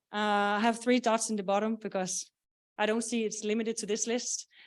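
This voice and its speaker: A woman's fairly high pitch at a fairly quick pace. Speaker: software product owner presenting at conference. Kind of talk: conference presentation. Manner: hesitant with many fillers.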